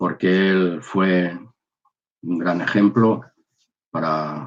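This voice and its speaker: Very deep and low in pitch, a man talks with ordinary pitch variation. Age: 60s. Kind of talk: personal testimony. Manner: halting.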